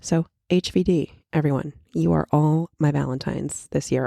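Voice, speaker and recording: A woman speaks in a very deep, low voice with a dark, mellow tone. The sound is dry and close with no echo, and the recording is very clean with a silent background. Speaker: podcast host. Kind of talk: casual solo podcast chat. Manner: chatty, animated.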